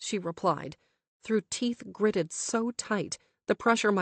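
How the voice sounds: Quiet surroundings, fairly even intonation, and a natural reading voice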